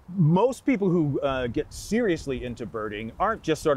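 At a moderate pace, a man talks over noticeable background noise, the sound dry with no echo. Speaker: guest. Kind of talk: interview answer. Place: forest.

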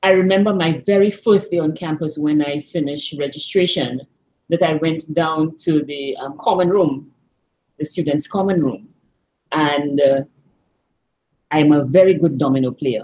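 A woman with a very deep, low pitch and a dark, mellow tone speaks with long, frequent pauses. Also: ordinary pitch variation, moderate pace. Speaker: remote interview guest. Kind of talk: interview answer. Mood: warm, reminiscing, amused. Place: office. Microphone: video call.

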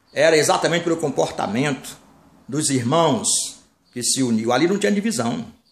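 A man speaks at a moderate pace in a fairly high pitch, his voice making very wide pitch swings against a quiet background with audible room echo. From Brazil, Bahia (Salvador); Bahia, Brazil. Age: 60s. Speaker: minister, former pastor. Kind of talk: sermon-style monologue. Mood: earnest, warning tone. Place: home room. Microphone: phone near.

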